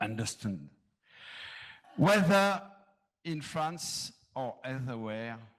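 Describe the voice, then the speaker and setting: The speaker, in a French accent, goes at a very slow pace with ordinary pitch variation. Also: man. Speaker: panelist, manager. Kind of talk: reading aloud; panel discussion. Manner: halting, not fluent.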